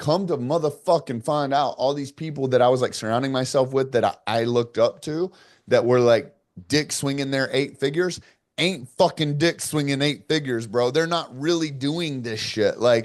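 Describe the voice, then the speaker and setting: With a quiet background, a man in a fairly high voice sounds animated, moving at a moderate pace with ordinary pitch variation. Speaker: entrepreneur. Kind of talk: podcast interview. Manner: loud.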